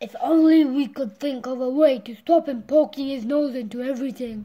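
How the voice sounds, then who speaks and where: Putting on a character voice, a woman speaks at a moderate pace in a high pitch with ordinary pitch variation. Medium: read story.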